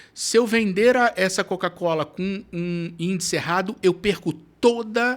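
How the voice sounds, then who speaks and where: Someone with a strong Rio accent speaks at a fairly slow pace on a very clean recording with a silent background. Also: man. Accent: Carioca (Rio) accent, kept strongly. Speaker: foodservice consultant. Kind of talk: podcast interview. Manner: casual, animated.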